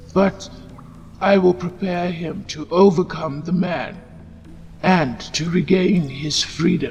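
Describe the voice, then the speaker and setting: In a soft-spoken, put-on character voice at middle pitch, the speaker goes at a fairly slow pace. Long, frequent pauses break it up, and background noise is clearly heard. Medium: read story. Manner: soft, sighing.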